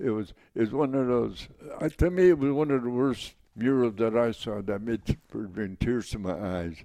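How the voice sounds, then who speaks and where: Lively in intonation, a man with an American accent speaks at a moderate pace in a medium pitch with a dark, mellow tone. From Wisconsin. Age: 80s+. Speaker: war veteran. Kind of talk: interview.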